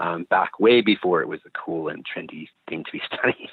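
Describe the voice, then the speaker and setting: At a fairly quick pace, a man speaks with a slight Canadian accent. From Canada, Calgary. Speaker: naturopath and microbiota researcher. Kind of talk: interview. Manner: hesitant, many ums.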